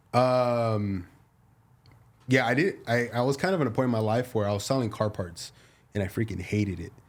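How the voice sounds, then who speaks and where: Here a man speaks at a moderate pace with a medium pitch. His pitch varies in an ordinary way, and he takes long, frequent pauses. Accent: Spanish. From US-born, second-generation Mexican American. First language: Spanish. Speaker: realtor. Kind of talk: casual chat.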